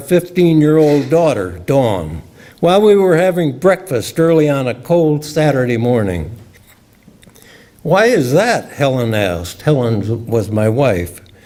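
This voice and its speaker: A man with an American accent talks at a fairly slow pace in a fairly high pitch. His pitch swings very widely, and there is noticeable background noise. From US Midwest, Illinois. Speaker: retired scientist and memoir writer. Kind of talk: reading aloud.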